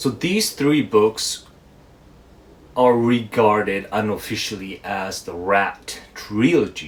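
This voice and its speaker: With a Japanese accent, a man speaks at a very slow pace in a fairly low pitch with lively intonation. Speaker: book reviewer. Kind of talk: casual book review monologue.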